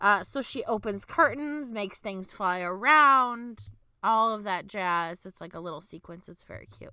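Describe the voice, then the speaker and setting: On a very clean recording with a silent background, a woman speaks at a moderate pace with a medium pitch, lively intonation, a bright, sharp tone and big swings in loudness. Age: 20s. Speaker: podcast co-host, movie discussion. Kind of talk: casual chat.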